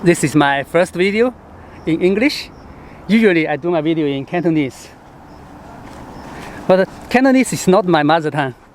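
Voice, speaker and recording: With a Hong Kong accent, a man talks at a fairly quick pace in a high pitch with lively intonation and long, frequent pauses, amid noticeable background noise. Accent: Chinese (Hong Kong) accented English. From born in Chengdu, China; moved to Hong Kong in high school. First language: Sichuanese. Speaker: travel writer and travel show host. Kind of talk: vlog monologue to camera. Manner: halting, with fillers.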